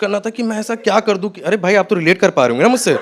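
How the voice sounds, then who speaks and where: The man speaking has a high-pitched voice. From Jaipur, India. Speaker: stand-up comedian. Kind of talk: stand-up comedy set. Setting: live comedy venue.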